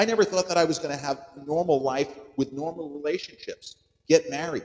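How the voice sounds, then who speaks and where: Intonation here is lively. The speaking speed is moderate. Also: man. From US Northeast, Long Island, New York. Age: 40s. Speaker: podcaster. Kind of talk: personal monologue. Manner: animated.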